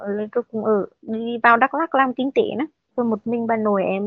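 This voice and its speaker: The speaker is a woman with a fairly high pitch. She keeps a moderate pace and fairly even intonation. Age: 30s. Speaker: factory worker. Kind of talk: personal testimony.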